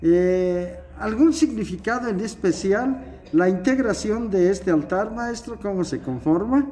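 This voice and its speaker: A man's high-pitched voice at a very slow pace, lively intonation and light background noise. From Mexico, Guanajuato. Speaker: local news reporter. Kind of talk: on-location report and interview. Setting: indoors at cultural center, dim candlelight. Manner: formal. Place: hall. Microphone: phone near.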